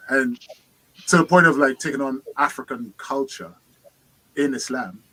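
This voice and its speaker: With a London accent, a man speaks at fairly high pitch in a bright, sharp tone with lively intonation, the sound dry and close with no echo. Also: moderate pace. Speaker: participant in online discussion group. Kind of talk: casual group discussion.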